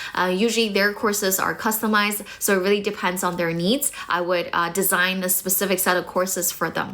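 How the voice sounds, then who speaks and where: The speaker has a North American accent and a fairly quick pace. Noticeable background noise can be heard. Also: woman. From China, studied in Toronto from age 16. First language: Mandarin Chinese. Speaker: English teacher. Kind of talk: live stream chat. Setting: live stream. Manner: hesitant with many fillers.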